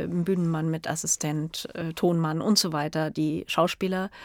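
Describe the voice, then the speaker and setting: A woman with a fairly low pitch keeps a fairly even intonation in a very clean recording with a silent background and a dry, close sound with no echo. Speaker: cinematographer. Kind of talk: interview. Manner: hesitant, many fillers.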